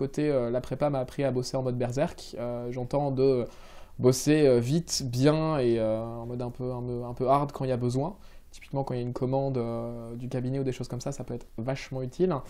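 A man talks at a fairly quick pace with fairly even intonation. His tone is dark and mellow, and the background is quiet. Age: 20s. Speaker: civil servant project manager; interviewee. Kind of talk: interview. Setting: office. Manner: hesitant, many fillers. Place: office.

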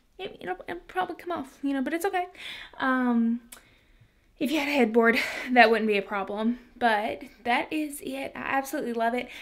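Over a quiet background, a woman with a high pitch talks at a moderate pace with lively intonation and long, frequent pauses. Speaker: DIY home decor vlogger. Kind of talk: tutorial. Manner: quiet, trying not to wake husband; casual, many fillers. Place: home room. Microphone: phone near.

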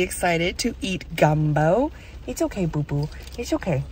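The voice moves at a moderate pace, with a dry sound that has no echo and light background noise. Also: woman. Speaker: travel vlogger. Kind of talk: casual vlog chat. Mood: cheerful despite bad weather. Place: car. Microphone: phone near.

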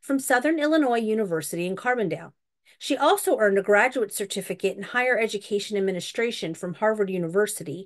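A woman talks at a very fast pace. The background is quiet. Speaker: event host introducing guests. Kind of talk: formal introduction. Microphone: video call.

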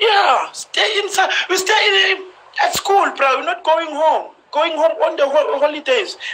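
The voice is raised and projected, moving at a fairly slow pace with ordinary pitch variation. Light background noise sits behind it. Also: man, extremely high pitch for a man. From South Africa. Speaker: professional footballer; live stream host. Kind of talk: casual Instagram live chat. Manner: humorous, confident. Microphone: phone near.

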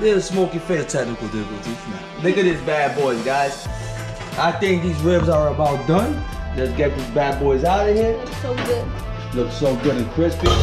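A man speaks at a moderate pace. Clear music plays behind him. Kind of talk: casual cooking vlog chat. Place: kitchen. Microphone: camera far.

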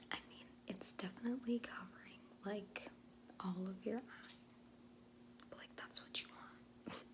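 Against noticeable background noise, a woman speaks at a moderate pace with big swings in loudness. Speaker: beauty vlogger. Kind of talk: tutorial. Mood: chatty, playful. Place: home room. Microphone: phone near.

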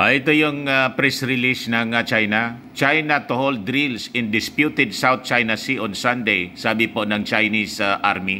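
A man's medium-pitched, bright, sharp voice at a fairly slow pace, with fairly even intonation and few pauses

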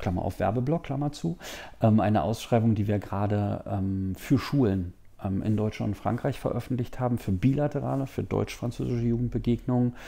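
With a dark, mellow tone, a man talks at a moderate pace and ordinary pitch variation. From eastern Germany, Magdeburg; eastern Germany. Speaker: official at a Franco-German youth organization. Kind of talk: interview. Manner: hesitant with many fillers. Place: office. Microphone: lapel.

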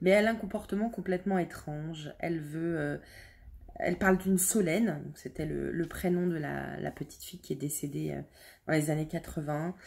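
Somewhat breathy and fairly low in pitch, a woman speaks at a moderate pace with ordinary pitch variation on a very clean recording with a silent background. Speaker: book youtuber. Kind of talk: book review monologue. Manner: hesitant, many fillers.

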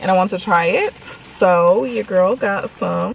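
A woman speaks in a dry sound with no echo. There is light background noise. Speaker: food vlogger. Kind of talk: casual vlog chat. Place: car. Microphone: phone near.

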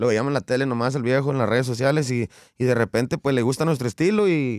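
A man's medium-pitched voice at a fairly quick pace against a quiet background. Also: dry sound with no echo. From Mexico, Coahuila. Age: 30s. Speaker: regional Mexican singer; guest. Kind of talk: interview. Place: studio. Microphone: studio mic.

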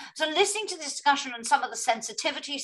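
Her pitch swings very widely as this woman speaks with a British accent against a quiet background. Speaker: moderator. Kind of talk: moderated panel discussion. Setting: online video event. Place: home room. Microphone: webcam.

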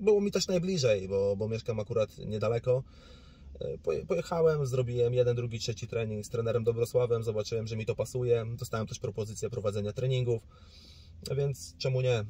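At a very fast pace, a man speaks with a medium pitch, ordinary pitch variation, and a somewhat breathy, dark, mellow tone. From Poland, Suwałki region (north-east). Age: 20s. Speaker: boxer. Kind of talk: interview.

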